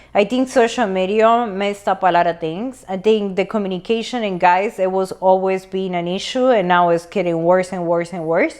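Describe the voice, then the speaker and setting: With a Spanish accent, a woman talks with hardly any pauses. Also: medium pitch for a woman, ordinary pitch variation, moderate pace. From Latin America. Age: 40s. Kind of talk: casual chat.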